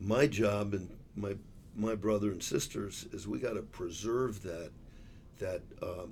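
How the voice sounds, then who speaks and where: Somewhat breathy and fairly low in pitch, a man with an American accent speaks at a fairly slow pace with ordinary pitch variation and long, frequent pauses, while audible room echo surrounds him. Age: 60s. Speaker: business executive. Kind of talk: casual chat.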